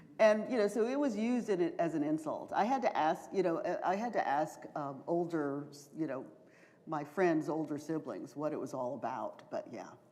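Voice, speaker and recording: A woman with an American accent speaks at a moderate pace and a fairly low pitch, her tone dark and mellow. Her pitch swings very widely, and audible room echo surrounds her. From US South, Charleston, South Carolina. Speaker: professor and author. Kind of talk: Q&A after a lecture. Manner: hesitant, many fillers.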